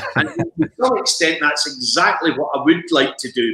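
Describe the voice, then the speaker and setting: Music plays in the background as a man with a Scottish accent talks at a moderate pace with fairly even intonation. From Scotland, Perth. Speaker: broadcaster and author. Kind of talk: interview.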